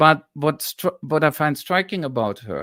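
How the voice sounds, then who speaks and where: Speaking at a fairly slow pace in a German accent, a man with a fairly high pitch and lively intonation is heard in a very clean, dry, close recording with a silent background and no echo. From Germany. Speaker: historian and political analyst. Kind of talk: live-streamed political discussion. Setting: live stream.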